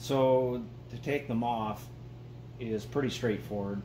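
A man is talking with noticeable background noise in the recording. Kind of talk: tutorial. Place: garage.

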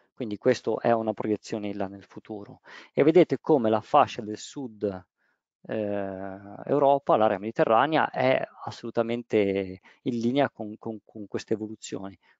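Big swings in loudness run through this man's speech. His pitch is fairly low, with ordinary pitch variation at a fairly slow pace. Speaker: roofing waterproofing project manager. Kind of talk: webinar presentation. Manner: halting.

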